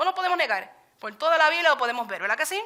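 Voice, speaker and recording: A woman speaks very fast in a bright, sharp tone, her voice raised and projected. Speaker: Bible study teacher. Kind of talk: sermon.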